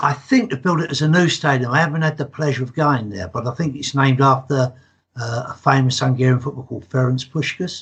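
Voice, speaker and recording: A man's medium-pitched, somewhat breathy voice with an English accent, ordinary pitch variation and a very fast pace. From England. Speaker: football fan. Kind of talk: casual chat.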